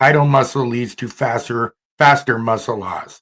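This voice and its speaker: Recorded very cleanly against a silent background, a man with an unremarkable speaking voice talks at a medium pitch with fairly even intonation. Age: 60s. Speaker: podcast host. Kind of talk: casual chat.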